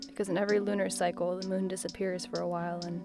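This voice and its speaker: With music behind her, a woman talks very fast. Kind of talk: spoken word poetry reading.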